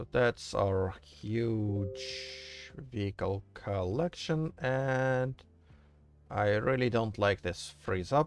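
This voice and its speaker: With music in the background, the speaker uses a strong non-native accent and ordinary pitch variation at a very slow pace. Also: man, medium pitch for a man. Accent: thick non-native English. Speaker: game modder streamer. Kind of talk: live stream commentary while working. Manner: casual, hesitant with fillers.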